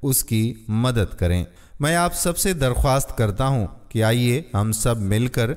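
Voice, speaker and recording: This man has an ordinary speaking voice and lively intonation. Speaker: motivational story narrator. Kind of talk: moral story narration.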